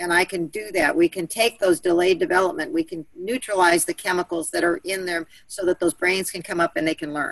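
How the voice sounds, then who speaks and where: Hardly pausing, a woman talks at a fairly quick pace and medium pitch, with ordinary pitch variation. The sound is dry and close, with no echo. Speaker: soil and water remediation advocate. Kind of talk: group call discussion. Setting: conference call. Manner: fast.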